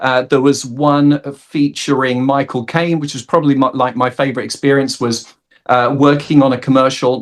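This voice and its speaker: A man talks with a South London accent. His pitch sits in the medium range. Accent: South London accent, fully intact. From South London, England. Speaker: actor and comedian. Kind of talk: interview. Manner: hesitant, many fillers.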